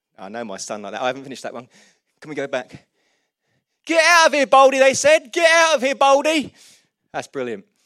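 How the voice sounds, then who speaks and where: A man talking at a very fast pace with an animated tone, big swings in loudness and long, frequent pauses, on a very clean recording with a silent background. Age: 40s. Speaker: pastor. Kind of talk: sermon. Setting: church.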